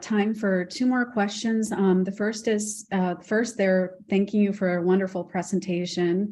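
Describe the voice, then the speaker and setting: A woman at medium pitch speaks in a dark, mellow, somewhat breathy tone at a fairly slow pace, with hardly any pauses and very even loudness. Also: quiet background. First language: Spanish. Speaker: program host and moderator. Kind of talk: Q&A moderation.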